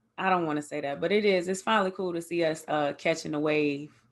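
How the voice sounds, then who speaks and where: A normal speaking voice from a woman, fairly low in pitch, at a fairly quick pace. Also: quiet background. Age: 20s. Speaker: podcast host. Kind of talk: casual interview.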